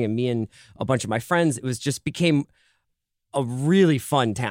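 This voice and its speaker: A plain, everyday voice from a man, medium in pitch with ordinary pitch variation, dry and close with no echo, on a very clean recording with a silent background. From Philadelphia, US. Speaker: podcast network editor, guest. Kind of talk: casual chat.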